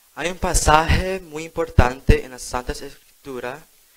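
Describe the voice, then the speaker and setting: A man with an English accent talks at a moderate pace in a fairly high pitch. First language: English (speaking Spanish). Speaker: lay preacher. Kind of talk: sermon. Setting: church.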